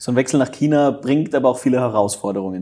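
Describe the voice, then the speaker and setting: Dark and mellow in tone, a man's medium-pitched voice moves along at a fairly quick pace. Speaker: podcast host, former footballer. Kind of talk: casual chat.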